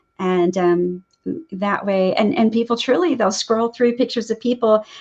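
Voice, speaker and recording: This is a woman's voice. It rises and falls in an ordinary way. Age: 60s. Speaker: nurse practitioner and photographer. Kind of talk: interview. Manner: halting, with many fillers.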